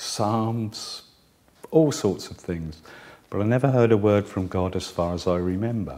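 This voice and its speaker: A man speaks in a dark, mellow tone. His pitch sits fairly low. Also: ordinary pitch variation, fairly slow pace. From southern England, Guildford. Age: 60s. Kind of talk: personal testimony.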